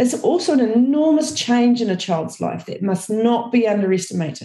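With a New Zealand accent, a woman talks at a moderate pace in a dark, mellow, somewhat breathy tone. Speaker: early childhood educator. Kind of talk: podcast talk.

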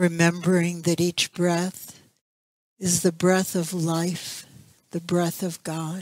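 Over music in the background, a woman talks at a very slow pace with monotone, flat intonation. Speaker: spiritual center minister leading meditation. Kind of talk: guided meditation, slow calm spoken prayer with long silences. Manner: soft-spoken, soothing, gentle.

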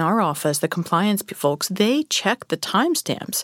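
A woman's unremarkable speaking voice at a medium pitch, fairly quick, in a very clean recording with a silent background and a dry, close sound with no echo. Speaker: real estate agent and podcast host. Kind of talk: casual interview.

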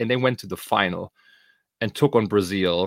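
Speaking in a German accent, a man with a fairly low pitch and ordinary pitch variation talks at a moderate pace on a very clean recording with a silent background, the sound dry and close with no echo. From Germany. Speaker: podcast host. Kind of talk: casual podcast chat.

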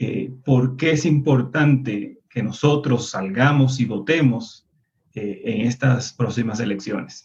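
A man with a slight Colombian accent talks at a very slow pace, somewhat breathy. His pitch is medium, with ordinary pitch variation. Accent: Colombian-tinged. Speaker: activist, former political prisoner. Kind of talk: panel discussion.

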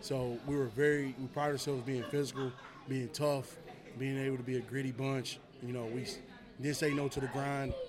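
A man with an American accent speaks at medium pitch and a moderate pace in a monotone, flat intonation. Noticeable background noise is present. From Tennessee (Murfreesboro). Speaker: high school football coach. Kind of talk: casual interview.

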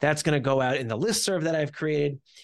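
An ordinary speaking voice with an American accent moves at a fairly quick pace. The background is quiet. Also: man. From US Northeast (New Jersey). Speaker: startup CEO. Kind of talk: interview.

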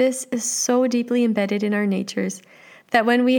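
A woman with a Canadian accent at a moderate pace. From Canada. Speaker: life coach podcast host. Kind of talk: solo podcast monologue. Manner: rising intonation at phrase ends.

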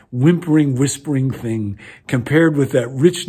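This is an unforced reading voice. The pitch varies in an ordinary way.

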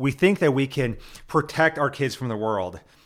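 A man with a plain, everyday voice talks at a fairly quick pace. His pitch variation is ordinary. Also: very clean recording, silent background. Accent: American. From Nebraska. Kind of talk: casual religious discussion.

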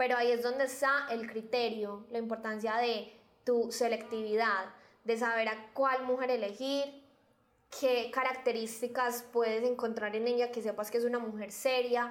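A woman's fairly high voice at a moderate pace, with monotone, flat intonation. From Colombia, Medellín (Antioquia). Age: 20s. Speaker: local guest. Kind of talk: interview.

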